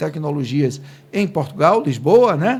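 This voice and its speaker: Lively intonation from a man at a fairly slow pace. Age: 50s. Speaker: podcast host. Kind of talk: casual interview.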